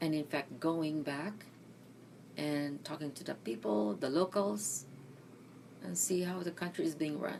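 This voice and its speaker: A woman with a very deep, low pitch uses lively intonation and takes long, frequent pauses. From Philippines, Mindanao. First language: Bisaya. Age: 60s. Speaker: interviewee, retired nurse. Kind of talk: oral history interview.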